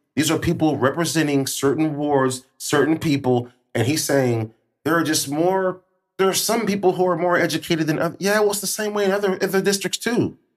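A man speaks in an ordinary speaking voice, fairly high in pitch, with ordinary pitch variation and very even loudness. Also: fairly quick pace. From Springfield, Illinois. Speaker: podcast host. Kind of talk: casual chat.

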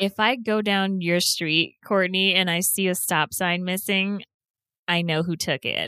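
The recording is dry and close with no echo, and the loudness stays very even. A woman speaks with a bright, sharp tone and fairly even intonation. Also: medium pitch for a woman, very clean recording, silent background. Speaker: podcast co-host. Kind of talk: casual chat. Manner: same voice in segments and chat.

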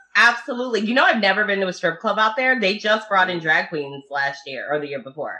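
Over noticeable background noise, the speaker races at a very fast pace with hardly any pauses and very wide pitch swings. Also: woman, medium pitch for a woman. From Dearborn, Michigan. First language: Italian. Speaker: podcast host. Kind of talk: casual chat.

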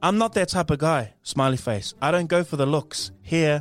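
Spoken at a fairly slow pace with lively intonation and a New Zealand accent, the very clean recording has a silent background. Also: man. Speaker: podcast co-host. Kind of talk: casual chat. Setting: studio.

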